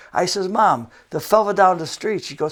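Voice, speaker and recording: A man with a western New York accent talks at a fairly quick pace. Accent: western New York American. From Buffalo, New York, US. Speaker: fitness coordinator and TV fitness guest. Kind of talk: TV and radio interview; anecdotal storytelling.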